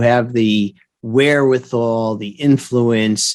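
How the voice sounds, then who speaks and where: The recording is very clean with a silent background, and the voice has ordinary pitch variation. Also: man. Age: 60s. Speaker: physician and author. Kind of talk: podcast interview. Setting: virtual studio. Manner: animated.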